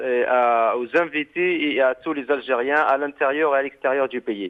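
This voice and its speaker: At a fairly slow pace, a man with a fairly high pitch and ordinary pitch variation speaks in a normal speaking voice. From Algeria. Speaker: activist. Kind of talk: call-in radio show.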